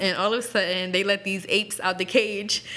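Noticeable background noise sits behind the speech. A woman talks at a medium pitch with monotone, flat intonation. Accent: American. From Lancaster, Pennsylvania (earlier Arizona). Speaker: podcast co-host. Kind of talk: casual chat.

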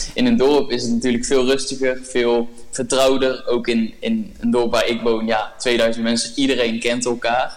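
Over noticeable background noise and audible room echo, a man with a medium pitch and fairly even intonation speaks at a moderate pace with hardly any pauses and very even loudness. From Brabant, Netherlands. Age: 20s. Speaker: podcast guest, young entrepreneur. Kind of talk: casual interview.

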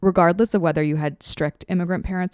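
A woman speaks in a normal speaking voice, fairly low-pitched and with fairly even intonation. The recording is very clean with a silent background and a dry, close sound with no echo. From grew up in Australia, Canada and the US; born in India. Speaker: podcast host. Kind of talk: solo podcast monologue.

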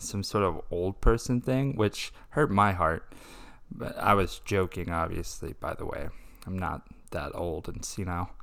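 A man with a Texan accent, fairly low pitch, ordinary pitch variation and a fairly slow pace, in a very clean recording with a silent background. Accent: Texan American. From Texas. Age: 20s. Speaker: podcast host. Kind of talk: casual monologue.

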